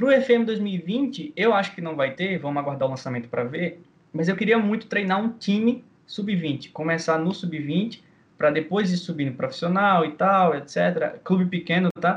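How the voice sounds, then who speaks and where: At a fairly slow pace, a man talks with lively intonation in a high pitch. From Brazil, Maceió, Alagoas. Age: 20s. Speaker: video game player. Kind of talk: casual interview chat.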